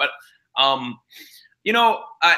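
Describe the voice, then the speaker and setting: A man with a high voice speaks loudly in an American accent, at a fairly slow pace. His tone is bright and sharp, with very wide pitch swings. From Pittsburgh, Pennsylvania. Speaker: nonprofit founder and CEO. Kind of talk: interview. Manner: halting, many fillers.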